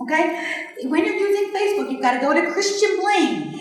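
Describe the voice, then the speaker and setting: A fairly quick pace and ordinary pitch variation, with noticeable background noise and audible room echo. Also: woman. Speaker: sales team trainer. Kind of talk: training talk to a live group. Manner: fast.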